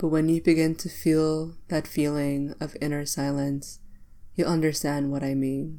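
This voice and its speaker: A woman's very deep, low voice, calm and soothing, at a fairly slow pace. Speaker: meditation guide and podcast host. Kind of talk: guided meditation. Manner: slow, calm and soothing, with pauses between cues; gentle, instructional and directive.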